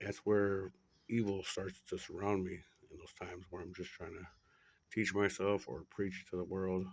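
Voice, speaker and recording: A man whispers at a moderate pace. His loudness swings widely. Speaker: spiritual monologue vlogger. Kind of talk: personal spiritual monologue. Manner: whispering; rambling, halting with fillers.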